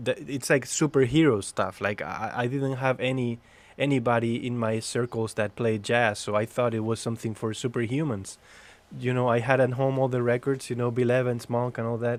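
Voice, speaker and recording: A man speaks with a Spanish accent at a medium pitch. His pace is fairly quick and his intonation fairly even. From Spain. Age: 30s. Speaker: jazz pianist and educator. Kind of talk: casual chat.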